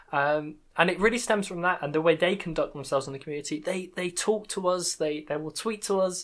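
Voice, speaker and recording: A woman with a British accent and a fairly low voice talks very fast with hardly any pauses. Her pitch varies in an ordinary way on a very clean recording with a silent background. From UK. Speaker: podcast host and Minecraft content creator. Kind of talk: casual interview chat.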